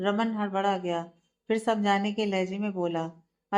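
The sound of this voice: An unforced reading voice with fairly even intonation comes through against a quiet background.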